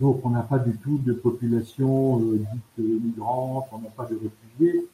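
The man's voice sits at a medium pitch. He delivers his words at a fairly slow pace. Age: 60s. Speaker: charity volunteer, retired banker. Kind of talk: radio interview. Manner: halting, with many hesitations.

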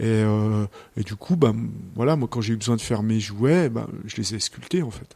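A man's medium-pitched voice, dark and mellow, at a moderate pace with ordinary pitch variation. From Chartreuse, French Alps. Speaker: wood sculptor. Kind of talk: interview in his workshop. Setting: sculpture workshop.

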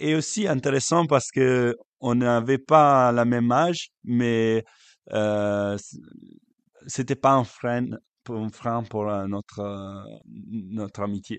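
A man's voice with an Italian accent. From Italy, Lake Como. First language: Italian (speaking French). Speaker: youth worker and actor. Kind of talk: interview. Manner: halting.

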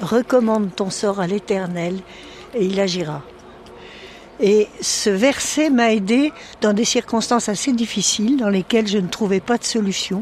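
A woman speaks at a fairly slow pace with long, frequent pauses. Her voice is fairly high, with ordinary pitch variation, and there is noticeable background noise. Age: 80s+. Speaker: parish council president. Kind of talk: testimony.

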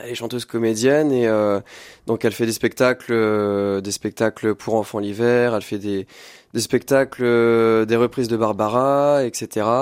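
The sound is dry and close, with no echo. The speech moves at a fairly slow pace with fairly even intonation. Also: man, medium pitch for a man. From France, Loir-et-Cher (Blois). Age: 20s. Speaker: singer-songwriter. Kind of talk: radio interview. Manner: hesitant, many fillers.

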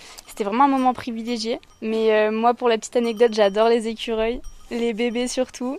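A woman's fairly high voice, fairly quick pace, and monotone, flat intonation, with noticeable background noise. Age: 20s. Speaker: volunteer at wildlife centre. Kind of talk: interview on location.

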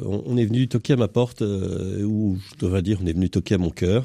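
This man has a fairly low pitch and a dark, mellow tone, speaking at a moderate pace with lively intonation. The recording is very clean, with a silent background. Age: 60s. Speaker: entrepreneur, former national scout leader. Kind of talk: radio panel discussion. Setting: radio studio. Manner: halting, many repetitions.

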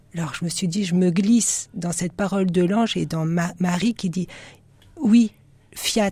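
A woman's dark, mellow, somewhat breathy voice at medium pitch, fairly slow in pace, with fairly even intonation and long, frequent pauses. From western France (Nantes). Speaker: religious sister. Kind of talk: radio interview.

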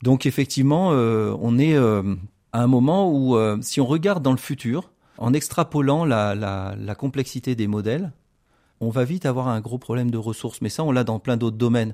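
In a very clean recording with a silent background, a man speaks at a moderate pace with a medium pitch, ordinary pitch variation and a dark, mellow tone. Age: 40s. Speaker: computer scientist. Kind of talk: radio interview. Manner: halting.

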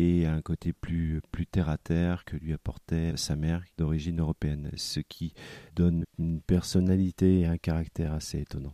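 Dry and close with no echo, a man's very deep, low voice comes at a fairly slow pace. His intonation is monotone and flat. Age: 50s. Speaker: bookseller. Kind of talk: interview. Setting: in a bookshop. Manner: halting.

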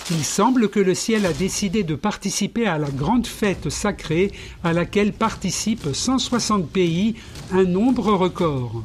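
A man talks at a very slow pace in a high pitch for a man. His intonation is lively while his loudness stays very even. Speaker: history podcast presenter. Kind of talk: scripted narration of Olympic history. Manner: formal, measured, didactic.

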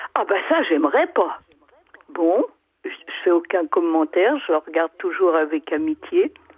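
A woman speaks at a fairly slow pace in a medium pitch. Her pitch swings very widely. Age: 80s+. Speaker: radio caller. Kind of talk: personal testimony. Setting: phone call. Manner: halting, repeating words.

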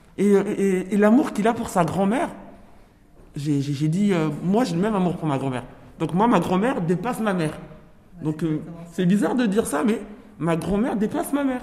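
Lively intonation from a woman, long, frequent pauses, and audible room echo. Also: medium pitch for a woman, moderate pace. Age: 40s. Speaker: prison inmate. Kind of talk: book discussion. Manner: halting.

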